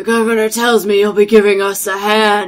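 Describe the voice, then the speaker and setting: A female-sounding voice uses a put-on character voice at medium pitch. The intonation is monotone and flat. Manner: smoky, stoned drawl.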